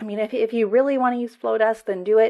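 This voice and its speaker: An ordinary speaking voice belongs to a woman with a General American accent and a fairly high pitch. Her intonation is fairly even, and the background is quiet. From United States. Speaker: marketing agency owner and podcast host. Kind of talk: solo podcast monologue, conversational with a promotional tone.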